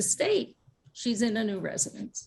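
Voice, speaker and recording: A woman talks at a fairly high pitch. Vocal fry runs through her voice. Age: 70s. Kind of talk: panel discussion.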